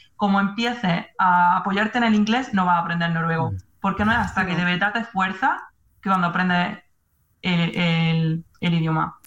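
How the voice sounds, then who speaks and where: A woman speaks at medium pitch with ordinary pitch variation and very even loudness, in an unremarkable speaking voice. Her pace is moderate. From Spain. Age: 20s. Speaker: nurse. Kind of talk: casual chat.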